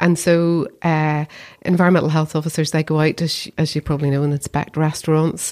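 This woman has a Belfast accent and a very deep, low pitch. Her intonation is monotone and flat. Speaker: council chief executive. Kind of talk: casual interview chat.

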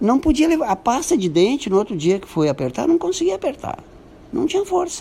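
A man's extremely high-pitched voice, with very wide pitch swings and a fairly quick pace. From Brazil, Santo Antônio da Patrulha, Rio Grande do Sul. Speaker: businessman. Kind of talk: radio interview.

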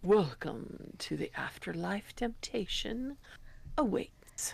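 A put-on character voice, raspy and fairly high-pitched, talks. The pace is very slow. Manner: ominous, inviting.

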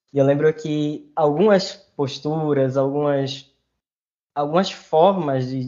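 This man has a fairly high pitch, fairly even intonation, and a plain, everyday voice. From Recife, Brazil. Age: 20s. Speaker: master's student. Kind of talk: casual interview conversation. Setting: video call.

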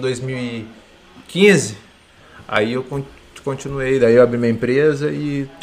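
With noticeable noise behind him, a man talks in a medium pitch that varies in an ordinary way. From interior of São Paulo state, Brazil. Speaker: fitness coach and nutritionist. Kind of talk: casual podcast interview.

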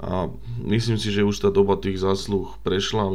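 This is a man's voice. It sits at a very deep, low pitch. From Slovakia. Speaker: football fan club member. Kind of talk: casual chat.

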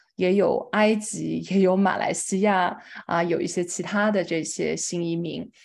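A woman's medium-pitched voice with a slight Chongqing accent, fairly slow and monotone, flat in intonation. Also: quiet background. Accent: slight Chongqing accent in Mandarin. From China, Chongqing. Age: young. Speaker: nonprofit fundraising director. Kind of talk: lecture.

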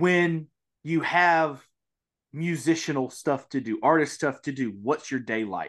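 The speaker has a Mississippi accent and a slow pace. Pitch variation is ordinary. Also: man, fairly high pitch for a man, fairly bright tone. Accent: Southern US, Mississippi.

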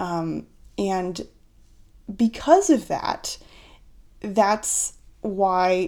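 On a very clean recording with a silent background, a woman with an American accent speaks at a medium pitch. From United States. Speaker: astrologer podcast host. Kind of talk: solo podcast monologue about astrology.

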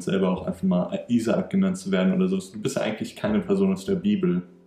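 Very wide pitch swings mark this man's delivery at a fairly quick pace. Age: 20s. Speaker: podcast host, engineering student. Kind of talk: casual chat.

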